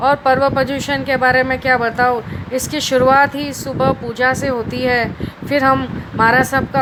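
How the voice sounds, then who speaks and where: The delivery stays flat and monotone while noticeable noise sits behind it. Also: woman. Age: 30s. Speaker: speech competition participant. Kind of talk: prepared speech. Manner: halting with fillers.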